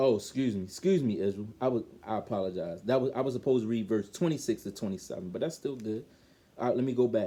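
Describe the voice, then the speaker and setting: In a Baltimore accent, a man talks very fast with a medium pitch. His tone is dark and mellow, his intonation lively. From Baltimore, Maryland. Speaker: bible teacher. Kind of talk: bible lesson. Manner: halting, self-correcting.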